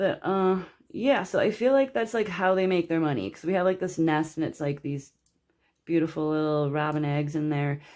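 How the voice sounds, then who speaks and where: A woman speaks at a moderate pace in a normal speaking voice, fairly low in pitch and with lively intonation. The recording is very clean, with a silent background. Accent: American. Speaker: tarot reader. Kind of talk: tarot card reading. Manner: casual, filler-heavy.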